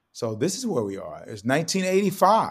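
A man with vocal fry, a fairly quick pace and very wide swings in pitch. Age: 70s. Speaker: TV meteorologist and sportscaster. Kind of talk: casual interview. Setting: video call.

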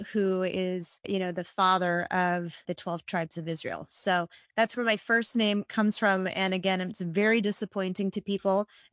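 A woman speaks with a slight Southern California accent at a moderate pace, her intonation monotone and flat. The sound is dry and close with no echo, over a quiet background. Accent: Southern Californian American, slight. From India. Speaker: guest. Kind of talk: personal storytelling, casual.

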